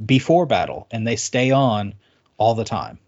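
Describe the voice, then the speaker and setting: A man with an unremarkable speaking voice, medium in pitch with ordinary pitch variation. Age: 30s.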